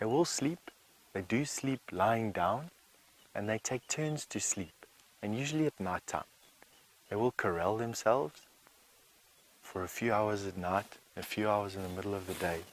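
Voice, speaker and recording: The voice is soft-spoken, with long, frequent pauses. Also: man, fairly low pitch for a man, lively intonation, moderate pace. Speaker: safari guide. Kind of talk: live wildlife commentary on a bushwalk. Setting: outdoors on foot in the bush.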